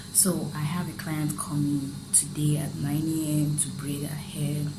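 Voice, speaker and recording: A quiet woman's very deep, low voice, fairly slow and fairly even in intonation, with audible room echo and noticeable background noise. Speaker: vlogger. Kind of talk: casual vlog talk. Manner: quiet, lowered voice.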